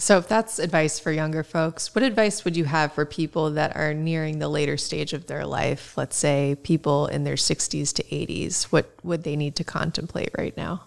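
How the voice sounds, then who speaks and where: A woman speaks with hardly any pauses in a very deep, low voice with vocal fry. Her pitch variation is ordinary. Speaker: podcast co-host. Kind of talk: rapid-fire interview questions.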